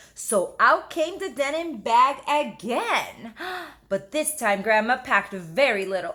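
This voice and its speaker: A woman speaks at a fairly slow pace and a high pitch, her pitch swinging very widely. Noticeable background noise is present. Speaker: teacher. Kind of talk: children's book read-aloud. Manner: expressive, engaging.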